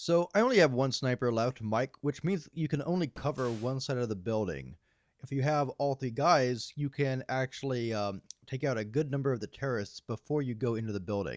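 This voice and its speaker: A man with an ordinary speaking voice at a medium pitch, fairly quick pace and ordinary pitch variation, in a dry, close sound with no echo on a very clean recording with a silent background. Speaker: video game reviewer. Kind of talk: game review voiceover. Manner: casual with many fillers.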